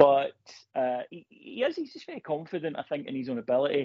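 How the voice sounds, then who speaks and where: A man speaks at a moderate pace with a fairly high pitch. He has a plain, everyday voice. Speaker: football journalist. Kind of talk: interview.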